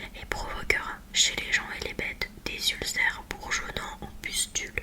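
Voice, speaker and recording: A whispering voice moves fairly slowly while noticeable background noise carries on behind it. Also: woman. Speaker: ASMR creator reading the Bible. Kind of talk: Bible reading, relaxation ASMR. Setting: close-mic studio recording with a Blue Yeti microphone. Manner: whispered, soft, close-mic.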